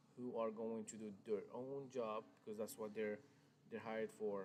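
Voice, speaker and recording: With fairly even intonation and a moderate pace, a man talks at medium pitch. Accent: strong non-native. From Morocco. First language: Arabic. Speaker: car salesman. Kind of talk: live stream sales talk. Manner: hesitant, many fillers and restarts.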